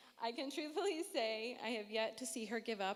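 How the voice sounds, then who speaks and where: At a moderate pace, a woman with a fairly high pitch and a plain, everyday voice speaks with lively intonation. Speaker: matron of honor giving wedding toast. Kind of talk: wedding speech. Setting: wedding reception with audience.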